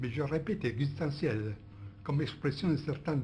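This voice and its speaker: A man speaks in a fairly high pitch with lively intonation. His voice is somewhat breathy, with a dark, mellow tone. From Italy. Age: old. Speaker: philosopher, interviewee. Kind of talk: interview answer. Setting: archive recording.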